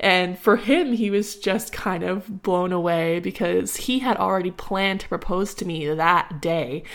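Heard on a very clean recording with a silent background, the speaker has a Canadian accent and ordinary pitch variation. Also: woman. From Ottawa, Canada. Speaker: podcast host and kindergarten teacher. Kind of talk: casual solo monologue.

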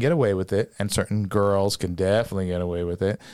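Over a very clean recording with a silent background, a man with an American accent talks at a fairly quick pace. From New Jersey. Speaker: former police officer and business founder. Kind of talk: casual chat.

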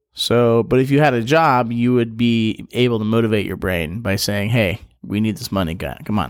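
A man with a normal speaking voice at medium pitch, ordinary pitch variation, a moderate pace and hardly any pauses. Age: 30s. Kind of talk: casual interview.

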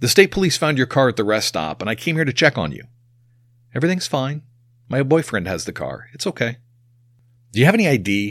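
With a medium pitch that swings very widely, a man talks at a very fast pace with vocal fry and long, frequent pauses, in a very clean recording with a silent background. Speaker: podcast host. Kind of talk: true-crime narration. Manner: measured, suspenseful storytelling.

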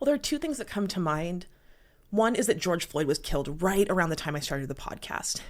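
This woman's voice sits at a medium pitch and moves with lively intonation. She talks at a fairly quick pace. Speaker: podcast host. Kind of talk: interview, answering questions.

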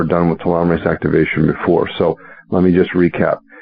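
Through noticeable background noise, a man with a very deep, low pitch talks at a very fast pace with fairly even intonation. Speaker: medical doctor. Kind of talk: interview. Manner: articulate.

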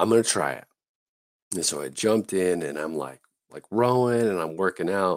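Using an American accent and lively intonation, the speaker moves at a moderate pace with long, frequent pauses, in a dry, close sound with no echo and a very clean recording with a silent background. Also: man, very deep, low pitch for a man. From Southern California. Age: 40s. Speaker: navy chaplain. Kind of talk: casual interview chat.

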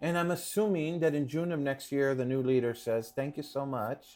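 With an American accent, a man talks at a moderate pace in a fairly high pitch. His is an unremarkable speaking voice with ordinary pitch variation. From Los Angeles, Pico Union. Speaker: playwright and theater director. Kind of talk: interview.

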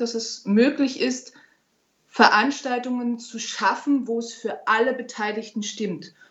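Speaking at a very slow pace, a woman has a fairly high voice. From Berlin, Germany. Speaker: opera singer. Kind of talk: interview.

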